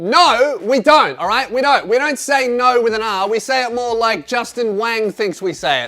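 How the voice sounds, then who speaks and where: Projecting a raised voice, a man with an Australian accent speaks at an extremely high pitch and a moderate pace. His tone is bright and sharp, and his intonation is lively. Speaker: comedian. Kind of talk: comedy monologue answering questions. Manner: animated.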